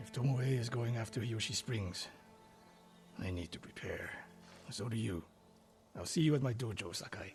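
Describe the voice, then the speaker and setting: A man puts on a raspy character voice at a medium pitch, speaking at a moderate pace with long, frequent pauses while music plays clearly in the background. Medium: video game. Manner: stern, terse.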